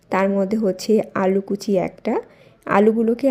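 A soft-spoken woman talks at medium pitch with a dark, mellow tone. Her intonation is monotone and flat. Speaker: lifestyle vlogger. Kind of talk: vlog voice-over. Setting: home at night.

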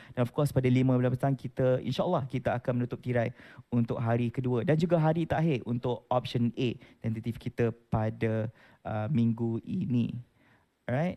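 A man with a medium-pitched voice and a dark, mellow tone speaks at a moderate pace with ordinary pitch variation, recorded dry and close with no echo. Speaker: event moderator. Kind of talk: event announcement.

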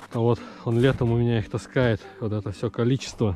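Faint music plays in the background as a man talks at a fairly slow pace, the sound dry with no echo. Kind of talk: casual vlog chat. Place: farm. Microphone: phone near.

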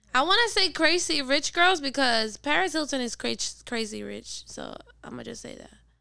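The pace is fairly slow as a woman speaks. Behind her, the background is quiet. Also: big swings in loudness, dry sound with no echo. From Puerto Rico (Carolina, Dorado); Puerto Rico. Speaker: singer and rapper; podcast guest. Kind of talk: casual chat. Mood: relaxed, chatty. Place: studio. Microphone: studio mic.

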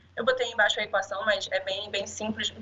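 At a moderate pace, a woman speaks at medium pitch with a monotone, flat intonation. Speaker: statistician, public safety analyst. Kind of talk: conference talk. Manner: halting, many fillers.

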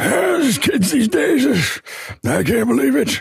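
In a put-on character voice, a man speaks with high pitch at a fairly slow pace.

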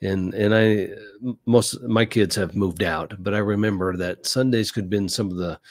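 Here is a man with an ordinary speaking voice. He speaks at a fairly low pitch and moderate pace against a quiet background. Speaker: podcast host on church life. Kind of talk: casual advice talk. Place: studio.

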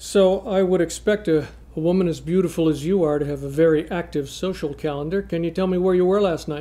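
A man talks at a very fast pace with hardly any pauses. His voice is high, with fairly even intonation. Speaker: actor playing a gruff cop on a dating video. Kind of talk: comedic scripted monologue. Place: studio.

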